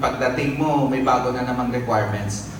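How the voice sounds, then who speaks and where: A man's fairly high voice, with ordinary pitch variation, comes through noticeable background noise and audible room echo. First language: Philippine language other than Tagalog (speaking Tagalog). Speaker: government labor office official. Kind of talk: ceremony speech. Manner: conversational.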